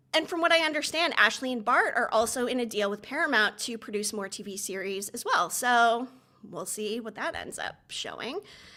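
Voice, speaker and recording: A loud woman's voice, fairly high in pitch, with a bright, sharp tone. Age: 50s. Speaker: TV commentator and YouTuber. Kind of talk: livestream commentary. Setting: livestream. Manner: fast.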